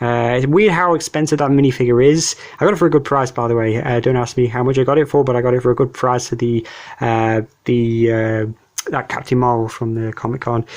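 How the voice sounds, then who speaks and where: A man's medium-pitched voice at a fairly quick pace, with fairly even intonation. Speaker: YouTuber showcasing toy collection. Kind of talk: casual showcase video. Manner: fast; halting, many fillers.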